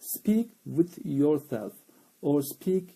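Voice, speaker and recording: Very slow and marked by lively intonation, a man's dark, mellow voice comes with a Turkish accent. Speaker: English teacher. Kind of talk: live stream chat. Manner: halting, many fillers.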